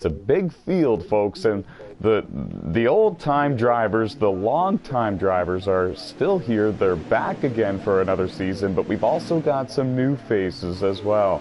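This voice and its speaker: A man's fairly low voice at a fairly slow pace, with lively intonation, very even loudness, hardly any pauses, and music in the background. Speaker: sim racing commentator. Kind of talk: live commentary. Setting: broadcast booth.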